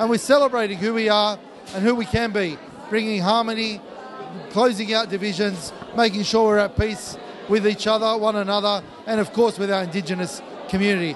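A man with an Australian accent talks at a fairly quick pace in a high voice. His intonation is fairly even, with light background noise behind him. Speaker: mayor. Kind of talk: formal speech. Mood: warm, celebratory. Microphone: handheld.

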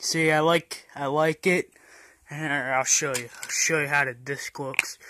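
A bright, sharp-toned man's voice, monotone and flat, at a fairly slow pace over noticeable background noise. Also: dry sound with no echo. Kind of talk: casual vlog chat. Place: home room. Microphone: phone near.

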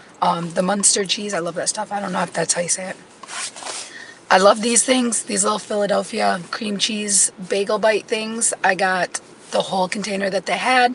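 A woman at a medium pitch and moderate pace, ordinary pitch variation, noticeable background noise. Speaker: homesteading vlogger. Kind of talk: casual vlog talk.

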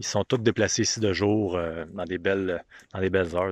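In a Quebec accent, a man speaks at a fairly quick pace with a fairly low pitch and ordinary pitch variation, the sound dry with no echo over a quiet background. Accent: Québécois French. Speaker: hunting video host, bowhunter; hunting video host. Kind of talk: outdoor vlog walkthrough. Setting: outdoors in the woods. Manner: casual, hesitant with fillers. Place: open country. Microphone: phone near.

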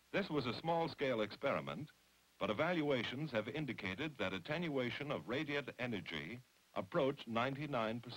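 The voice, marked by vocal fry, moves at a moderate pace. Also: man, medium pitch for a man. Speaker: documentary narrator. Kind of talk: 1950s atomic test documentary narration, scripted and formal. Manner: formal, authoritative, measured; brisk, matter-of-fact newsreel delivery.

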